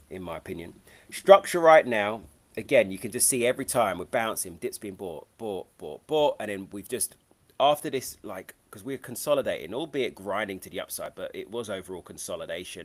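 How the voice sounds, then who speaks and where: With a London accent, a man talks at a fairly quick pace, his loudness swinging widely. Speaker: trading educator. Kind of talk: live trading stream.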